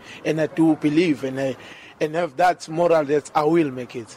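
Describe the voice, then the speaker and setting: Pitched fairly high, a man talks at a moderate pace with ordinary pitch variation, noticeable background noise behind him. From rural northern KwaZulu-Natal, South Africa. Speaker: university football goalkeeper. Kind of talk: interview.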